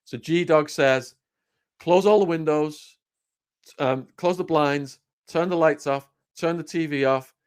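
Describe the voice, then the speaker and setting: A man speaks with an English accent and ordinary pitch variation. The recording is very clean, with a silent background. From England. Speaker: former drug dealer, storyteller. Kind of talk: casual chat. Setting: live stream.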